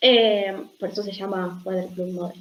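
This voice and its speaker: This woman talks at a very slow pace. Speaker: doctoral student presenter. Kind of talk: academic seminar presentation. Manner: hesitant, many fillers.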